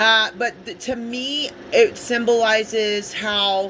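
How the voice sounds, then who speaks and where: The speaker has an American accent. Noticeable background noise runs underneath. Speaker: spiritual tarot reader. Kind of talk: casual spiritual monologue. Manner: halting, many fillers.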